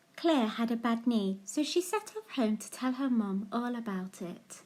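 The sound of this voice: With lively intonation, a woman speaks at a fairly high pitch in a dark, mellow tone.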